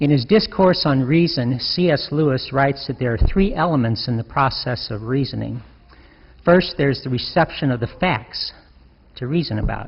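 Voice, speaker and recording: Speaking at a moderate pace, a man with a fairly high voice sounds somewhat breathy and uses ordinary pitch variation. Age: 60s. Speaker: deacon. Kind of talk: sermon.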